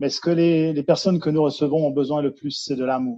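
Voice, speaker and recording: A man speaks with fairly high pitch and ordinary pitch variation. His tone is dark and mellow. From Switzerland, Jura region. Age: 50s. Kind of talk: interview. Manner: hesitant, many fillers and repetitions.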